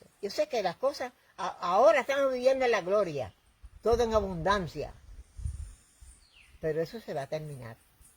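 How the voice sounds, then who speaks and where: A woman speaks with long, frequent pauses, very wide pitch swings and big swings in loudness. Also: medium pitch for a woman, moderate pace. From Puerto Rico. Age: 80s+. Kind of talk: interview answer.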